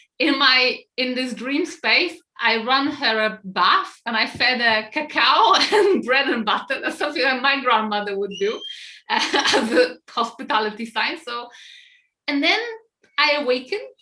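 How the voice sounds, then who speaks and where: A woman's raised, projected voice, high in pitch, with lively intonation at a fairly slow pace. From Poland. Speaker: podcast host. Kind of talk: casual podcast conversation, personal story.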